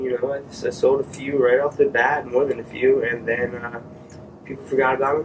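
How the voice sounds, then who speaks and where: Over noticeable background noise, a man with an American accent talks at a fairly quick pace in a flat monotone at a medium pitch. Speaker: vlogger testing podcast gear. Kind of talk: casual vlog monologue. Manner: soft-spoken; hesitant, many fillers.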